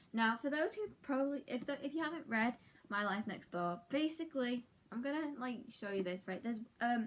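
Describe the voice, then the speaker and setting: Her intonation is lively and her pitch high. This woman speaks at a fairly quick pace in a British accent. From UK. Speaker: book vlogger. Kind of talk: casual vlog talk. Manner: fast; animated.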